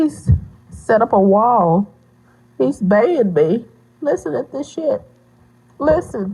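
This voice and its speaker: Speaking very slowly with long, frequent pauses, a woman uses a fairly high pitch with very wide swings, a dark, mellow tone and vocal fry. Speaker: vlogger sharing personal life. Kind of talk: emotional personal vlog.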